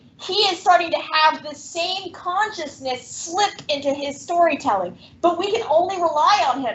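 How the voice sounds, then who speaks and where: A woman speaks loudly at an extremely high pitch. Her tone is animated and her intonation lively. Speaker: teacher. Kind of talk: classroom lecture with reading aloud.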